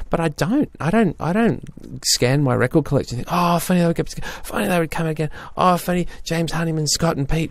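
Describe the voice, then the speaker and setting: A man with an Australian accent talks at a fairly quick pace over noticeable background noise. His pitch is fairly high, with ordinary variation. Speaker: podcast co-host discussing music. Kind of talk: casual chat.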